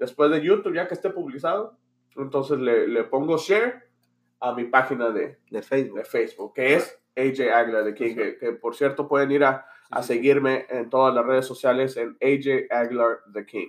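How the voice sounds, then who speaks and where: In an ordinary speaking voice, a man talks at a fairly high pitch and a moderate pace with ordinary pitch variation. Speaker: youtuber. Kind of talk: casual banter podcast.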